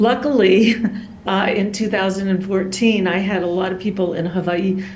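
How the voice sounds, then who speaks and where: Audible room echo and noticeable background noise surround a woman speaking at a medium pitch with monotone, flat intonation. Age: 60s. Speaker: abuse survivor testifying. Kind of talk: public testimony. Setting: video call.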